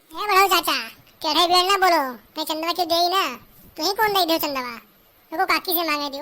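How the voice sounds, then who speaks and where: A woman's cartoonish character voice, extremely high-pitched and very fast, with ordinary pitch variation. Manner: brash, loud.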